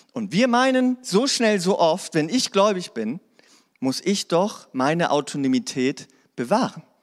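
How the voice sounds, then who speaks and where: A man with a high pitch talks at a fairly slow pace on a very clean recording with a silent background. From Hannover, northern Germany. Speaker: pastor. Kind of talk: sermon. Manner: casual.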